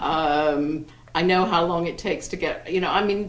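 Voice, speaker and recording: In an English accent, a woman talks at a moderate pace over noticeable background noise, with audible room echo. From England, Wiltshire. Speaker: romance novelist. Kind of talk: panel discussion. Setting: bookstore event with audience. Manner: halting.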